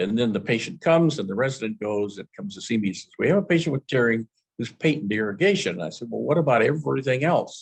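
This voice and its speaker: A man at medium pitch talks very fast with hardly any pauses. His pitch swings very widely. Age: 70s. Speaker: eye surgeon lecturer. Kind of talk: lecture. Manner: halting.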